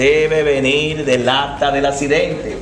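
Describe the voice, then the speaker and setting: With noticeable background noise and audible room echo, a man with a fairly high pitch speaks at a fairly slow pace. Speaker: teacher speaking at a public forum on traffic law. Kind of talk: public talk. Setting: public event without microphone. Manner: loud.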